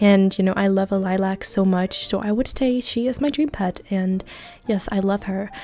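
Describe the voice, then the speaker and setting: Over music in the background, a woman speaks at a moderate pace with fairly even intonation. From Denmark. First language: Danish. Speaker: gaming YouTuber. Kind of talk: casual chat. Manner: casual, many fillers.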